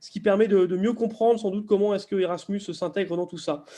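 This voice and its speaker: With a dark, mellow tone and fairly even intonation, a man speaks at a high pitch. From southern France, near Perpignan. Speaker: arts policy official, presenter. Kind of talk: webinar presentation. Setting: video call. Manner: halting, many fillers and repetitions.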